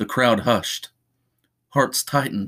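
An unremarkable speaking voice from a man at medium pitch, with fairly even intonation and a fairly slow pace, on a very clean recording with a silent background. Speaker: podcast host reading fiction. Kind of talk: horror fiction narration, read aloud from a script.

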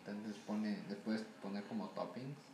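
Over noticeable background noise and audible room echo, a woman with a very deep, low pitch speaks at a moderate pace with fairly even intonation. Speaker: guest. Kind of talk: casual chat.

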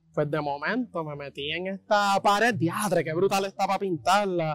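A fairly slow pace in a Puerto Rican accent. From Bayamón, Puerto Rico. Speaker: graffiti artist. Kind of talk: casual panel discussion.

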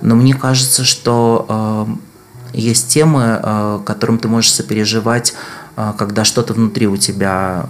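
A man's fairly low voice with fairly even intonation, against noticeable background noise. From Moscow, Russia. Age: 40s. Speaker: researcher and public health activist. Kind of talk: casual interview conversation. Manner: thoughtful, hesitant with fillers.

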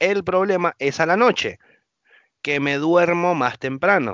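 A man is speaking. His pace is fairly slow. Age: 30s. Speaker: podcast host. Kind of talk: casual chat.

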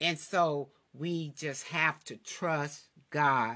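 Very slowly, a woman speaks in a tone that is both bright and sharp and warm. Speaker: devotional podcast host. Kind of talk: fervent prayer, then preaching-style devotional. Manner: impassioned, exhortative, repeating lines for emphasis; warm, encouraging.

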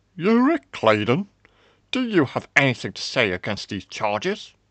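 In a put-on character voice, a man speaks at a fairly high pitch and moderate pace, with very wide pitch swings and big swings in loudness, the sound dry and close with no echo against a quiet background. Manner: warm and jovial, then stern.

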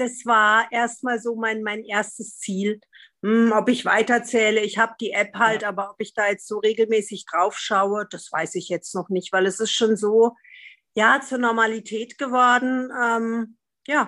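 Against a quiet background, a woman speaks at a fairly slow pace with a fairly high pitch, a bright, sharp tone and fairly even intonation. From Freiburg, southwestern Germany. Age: 50s. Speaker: podcast guest, recovering drinker. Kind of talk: casual interview conversation.

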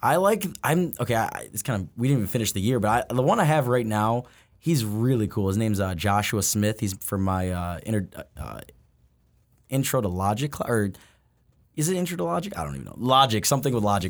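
Over a very clean recording with a silent background, a man uses a normal speaking voice at medium pitch, with lively intonation and a fairly quick pace. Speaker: college club quidditch player. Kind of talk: casual interview chat.

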